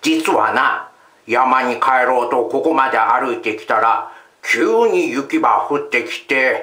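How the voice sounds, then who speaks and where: A man puts on a character voice, speaking at a fairly slow pace with an audible echo. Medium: read story. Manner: gruff.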